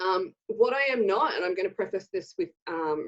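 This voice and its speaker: A woman with an Australian accent, lively intonation and a moderate pace, against a quiet background. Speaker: horse owner and summit presenter. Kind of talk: online presentation. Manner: casual, with many filler words.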